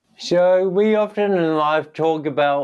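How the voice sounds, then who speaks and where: A man with a New Zealand accent speaks at a fairly high pitch, with ordinary pitch variation. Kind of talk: interview.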